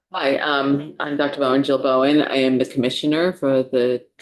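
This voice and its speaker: A woman's very deep, low-pitched voice with a New York accent. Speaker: state department commissioner, psychologist. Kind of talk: testimony to legislative committee.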